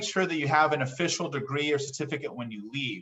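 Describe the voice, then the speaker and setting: Ordinary pitch variation runs through the man's speech. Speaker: college counselor. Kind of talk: workshop presentation. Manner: fast.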